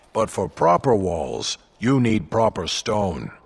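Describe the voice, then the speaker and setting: A man's put-on character voice, fairly low in pitch and fairly slow in pace. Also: very clean recording, silent background. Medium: video game. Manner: blunt, grumbling.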